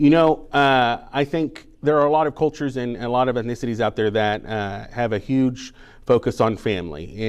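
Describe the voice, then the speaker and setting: With lively intonation and a medium pitch, a man speaks at a moderate pace over a quiet background. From Texas, Dallas. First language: Spanish. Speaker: banker and community volunteer. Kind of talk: interview. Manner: hesitant, many fillers.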